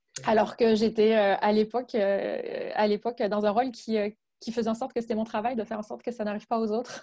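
Speaking at a fairly quick pace, a woman uses monotone, flat intonation in a fairly high pitch with a dark, mellow tone. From France. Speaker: HR and agile coach. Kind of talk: interview.

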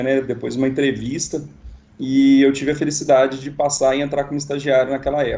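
A man's fairly high voice at a very fast pace. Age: 30s. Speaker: engineering specialist. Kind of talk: casual interview. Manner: halting.

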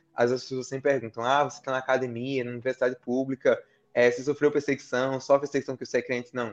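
A man at medium pitch speaks at a very fast pace with monotone, flat intonation, in a dry, close sound with no echo. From Brazil, Paraíba (Campina Grande). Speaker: international relations scholar. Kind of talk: interview. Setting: live-streamed podcast.

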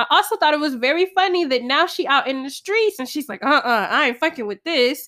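A woman talks fast in a high, raised, projected voice with a bright, sharp tone, hardly pausing at all. Her intonation is lively and her tone animated. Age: 20s. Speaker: podcast host. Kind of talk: casual monologue.

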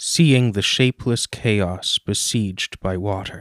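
In a very clean recording with a silent background and a dry, close sound with no echo, an ordinary speaking voice moves at a fairly slow pace with ordinary pitch variation. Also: man. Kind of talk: poetry reading.

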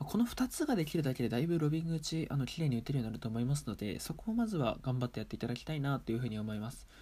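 A man talks very fast with hardly any pauses and lively intonation. His fairly high voice is somewhat breathy, with a dark, mellow tone. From Japan, Aomori Prefecture. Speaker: table tennis player and podcaster. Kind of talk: casual solo talk.

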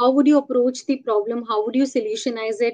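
A woman with an Indian accent talks in a high pitch, using ordinary pitch variation. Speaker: product manager. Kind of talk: interview.

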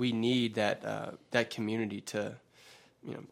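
A man with an American accent speaks at a medium pitch in monotone, flat intonation. The recording is very clean, with a silent background. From US South, West Georgia. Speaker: college student. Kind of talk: casual chat.

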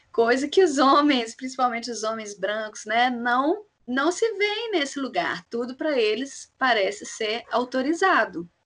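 In a high pitch and with lively intonation, a woman talks at a fairly slow pace with hardly any pauses. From Belo Horizonte, Minas Gerais, Brazil. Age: 30s. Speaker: clown and actress. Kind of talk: casual chat.

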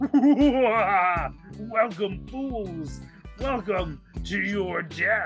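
A put-on character voice with a fairly high pitch speaks at a very slow pace. Clear music plays in the background. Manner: menacing, taunting.

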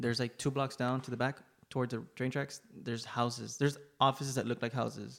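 A man's very fast, monotone, flat delivery at a medium pitch, with vocal fry and an American accent. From Laredo, Texas. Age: 20s. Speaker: photographer. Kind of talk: casual chat. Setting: studio.

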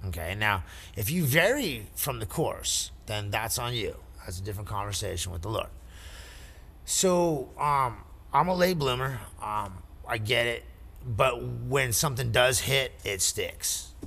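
A man speaking at a fairly slow pace, with long, frequent pauses and audible room echo. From Canyon Lake area. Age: 40s. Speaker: cannabis industry worker. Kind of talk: casual chat.

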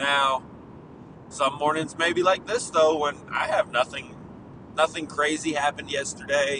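Noticeable background noise sits behind a man with a fairly high pitch. He keeps a moderate pace and fairly even intonation, with long, frequent pauses. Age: 30s. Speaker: podcast host. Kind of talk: casual monologue. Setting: in a car.

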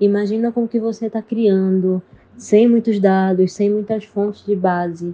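At a moderate pace, a medium-pitched woman speaks with monotone, flat intonation. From Recife, Pernambuco, Brazil. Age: 20s. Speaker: psychologist and NGO founder. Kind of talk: interview testimony.

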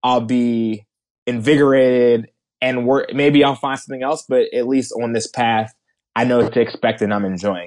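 In a normal speaking voice, a man with an American accent keeps his intonation fairly even. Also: medium pitch for a man, moderate pace. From New Jersey, outside Philadelphia. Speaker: venture capital investor. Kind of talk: interview.

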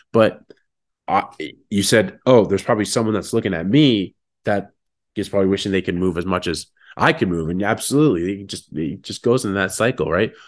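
Speaking fairly quickly with a Canadian accent, a man uses a plain, everyday voice at a fairly low pitch with ordinary pitch variation against a quiet background. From Ontario, Canada (Sarnia). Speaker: motivational speaker. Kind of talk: casual chat.

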